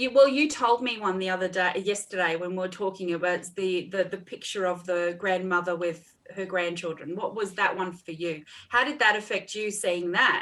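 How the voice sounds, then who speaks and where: A woman with an Australian accent at a moderate pace, ordinary pitch variation, and noticeable background noise. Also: medium pitch for a woman. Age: 40s. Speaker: counsellor and mentor. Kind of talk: casual chat.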